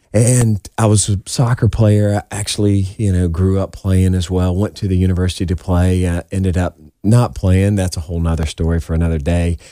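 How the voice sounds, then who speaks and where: A man with a Southern US accent talks at a fairly quick pace with hardly any pauses and fairly even intonation. His very deep, low voice has a dark, mellow tone, captured in a very clean recording with a silent background. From South Carolina, Summerville. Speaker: education technology sales executive. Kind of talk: radio interview.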